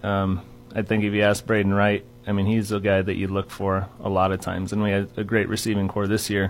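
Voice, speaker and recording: Intonation is monotone and flat. A man talks at a fairly quick pace. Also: fairly low pitch for a man. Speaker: strength and conditioning coach. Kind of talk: casual chat.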